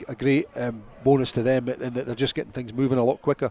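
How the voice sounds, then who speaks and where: A man with a Scottish accent at medium pitch, fairly quick, with monotone, flat intonation and a dry, close sound with no echo. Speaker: rugby match analyst / co-commentator. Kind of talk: live sports radio commentary. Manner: conversational, with frequent fillers and repetitions.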